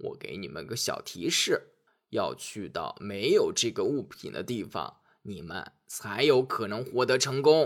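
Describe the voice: In a put-on character voice with vocal fry, a man speaks fairly low and fairly slowly with big pitch swings, on a very clean recording with a silent background.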